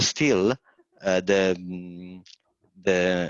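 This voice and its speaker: Against a quiet background, a man with a very deep, low pitch speaks with an Italian accent in a dry, close sound with no echo. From Italy, Naples. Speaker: environmental historian. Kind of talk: webinar talk. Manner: halting.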